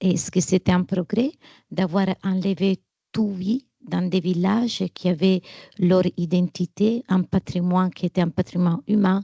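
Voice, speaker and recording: A woman speaks very slowly with a non-native accent, at a medium pitch and with fairly even intonation. Her tone is dark, mellow and somewhat breathy, and the sound is dry and close with no echo. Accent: foreign accent in French. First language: not French (speaking French). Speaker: panelist at a film debate. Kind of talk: panel discussion.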